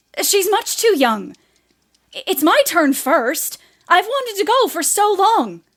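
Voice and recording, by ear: A woman uses a put-on character voice, extremely high in pitch with big pitch swings. She speaks slowly, in a fairly bright tone.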